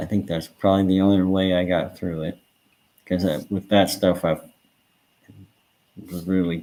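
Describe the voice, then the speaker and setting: The speaker has an American accent and a moderate pace. The intonation is monotone and flat, with long, frequent pauses. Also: man, very deep, low pitch for a man. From Nebraska, US Midwest. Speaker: streamer. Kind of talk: casual chat. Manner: halting, many fillers.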